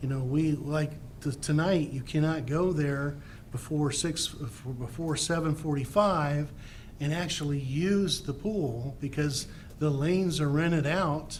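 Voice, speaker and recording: A man with fairly high pitch and fairly even intonation, fairly slow pace, audible room echo. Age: 60s. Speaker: resident giving public comment. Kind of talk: public comment. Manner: halting.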